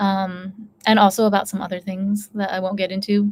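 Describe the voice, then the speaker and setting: A woman talks at a medium pitch. Her voice is somewhat breathy. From United States. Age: 30s. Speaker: YouTuber. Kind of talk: casual chat. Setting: live stream.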